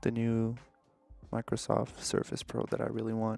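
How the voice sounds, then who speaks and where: Faint music plays behind a man talking at a moderate pace, the sound dry with no echo. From Canada, Montreal. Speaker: vlogger. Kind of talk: casual talk to camera, vlog.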